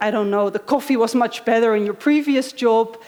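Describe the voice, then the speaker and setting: At a moderate pace, a woman with a Dutch accent talks with fairly even intonation over noticeable background noise. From Netherlands. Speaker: conference speaker. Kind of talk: conference talk.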